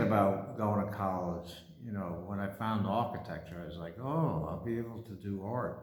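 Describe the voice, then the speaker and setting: A man speaks in a New York accent at a moderate pace. Audible room echo surrounds his voice. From Brooklyn, New York. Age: 60s. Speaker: painter and artist. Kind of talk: casual personal monologue. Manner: halting, with many fillers.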